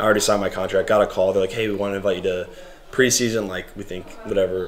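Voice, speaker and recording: Someone with an American accent talks at a very fast pace over noticeable background noise. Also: man. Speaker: professional soccer goalkeeper. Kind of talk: casual chat. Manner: loud.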